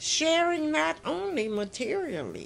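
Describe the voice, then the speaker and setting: Over faint music in the background, the speaker talks at a very slow pace. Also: woman. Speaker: poet. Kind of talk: poetry reading. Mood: earnest, gentle, devout. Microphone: phone near.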